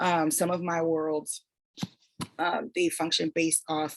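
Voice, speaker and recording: Her very deep, low pitch and fairly even intonation mark this woman's speech, which moves at a fairly slow pace. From raised in the United States, born in Toronto. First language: French. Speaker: fantasy author. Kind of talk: online writing workshop. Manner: casual, conversational.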